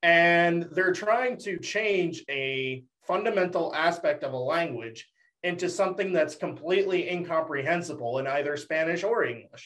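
A man speaks with an American accent. His pitch is high, with ordinary variation. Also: moderate pace. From Dallas, Texas.

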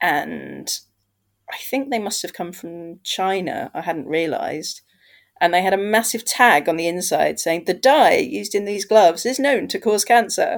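With a British accent, a woman talks at a moderate pace and with lively intonation in a very clean recording with a silent background. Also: medium pitch for a woman. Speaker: podcast host. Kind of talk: casual chat.

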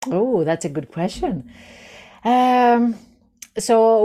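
A woman's dark, mellow tone in a Greek accent, very wide pitch swings, very clean recording, silent background. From Greece. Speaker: psychologist and founder. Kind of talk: casual interview.

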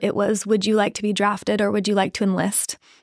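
On a very clean recording with a silent background, a woman at medium pitch sounds dry and close with no echo. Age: 30s. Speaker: dating and relationship coach. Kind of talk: casual chat.

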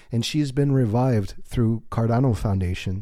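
This man speaks with a fairly low pitch in a dark, mellow tone. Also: very clean recording, silent background. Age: 40s. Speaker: author and podcast host. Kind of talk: solo monologue podcast. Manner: unscripted, conversational.

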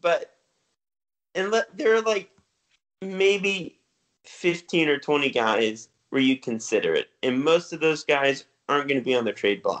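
Pausing long and often, a man speaks at a fairly slow pace and a fairly high pitch with very wide pitch swings. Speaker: podcast co-host. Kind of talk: casual sports podcast chat. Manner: relaxed, laughing.

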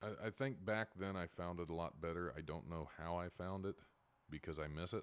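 A man with a Midwestern American accent has a very deep, low pitch. He talks at a fairly quick pace in a very clean recording with a silent background. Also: ordinary pitch variation. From Ohio, near Dayton. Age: 40s. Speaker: stand-up comedian. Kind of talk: casual interview.

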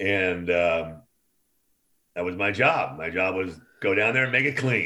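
With an American accent, a man with a very deep, low pitch and a bright, sharp tone talks at a fairly slow pace with long, frequent pauses and ordinary pitch variation, and audible room echo. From Oakland, California. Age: 60s. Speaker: concert production veteran. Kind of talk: casual chat.

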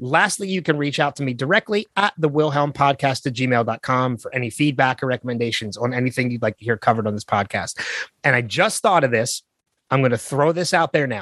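A man speaks at a fairly quick pace with lively intonation. His is a plain, everyday voice. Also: medium pitch for a man. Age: 40s. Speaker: podcast host. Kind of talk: casual chat.

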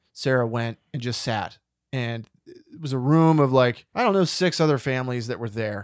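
Speaking at a moderate pace, a man has a medium pitch, ordinary pitch variation and a normal speaking voice. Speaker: movie podcast host. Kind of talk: casual chat.

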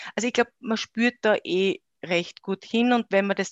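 A woman talks in a normal speaking voice at a moderate pace. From Austria, Styria. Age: 30s. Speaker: company founder. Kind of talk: interview.

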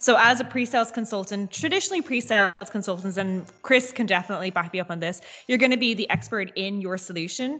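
A woman talks very fast in a Dublin accent, barely pausing at all. Her pitch is medium, and there is noticeable background noise. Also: ordinary pitch variation. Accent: Dublin Irish. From Dublin, Ireland. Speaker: pre-sales consultant. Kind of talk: casual chat. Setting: video call.

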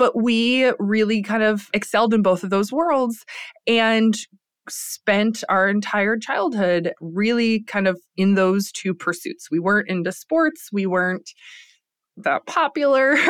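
A woman with an American accent has a normal speaking voice, fairly high in pitch, with lively intonation and very even loudness at a fairly slow pace. The recording is very clean, with a silent background. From US Midwest, Lansing, Michigan. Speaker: entrepreneur and business professor. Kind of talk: casual interview chat.

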